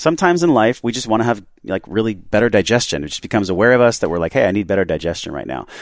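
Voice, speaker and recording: With vocal fry and a fairly low pitch, a man races at a very fast pace with hardly any pauses and very wide pitch swings. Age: 30s. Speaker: podcast host. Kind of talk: interview; scripted intro. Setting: podcast studio.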